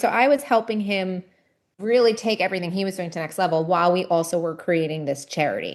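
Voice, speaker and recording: A woman with an American accent has a plain, everyday voice and speaks at a fairly quick pace over a quiet background. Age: 40s. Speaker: nonprofit founder. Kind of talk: podcast interview.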